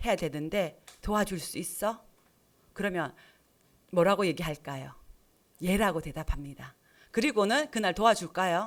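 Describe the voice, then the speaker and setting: Lively intonation at a moderate pace with long, frequent pauses, on a very clean recording with a silent background. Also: woman. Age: 60s. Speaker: lay preacher, church deacon. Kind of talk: sermon. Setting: church with congregation. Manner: interactive, asks congregation questions.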